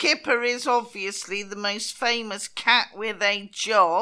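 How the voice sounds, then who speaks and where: Speaking at a very slow pace with a British accent, a woman has a bright, sharp tone. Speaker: podcast co-host. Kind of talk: casual chat, comedic. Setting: recording remotely from Spain.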